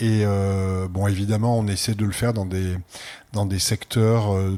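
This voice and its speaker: His fairly low voice stays flat and monotone, with very even loudness throughout. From France. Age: 60s. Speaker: art center director. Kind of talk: interview. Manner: hesitant, many fillers.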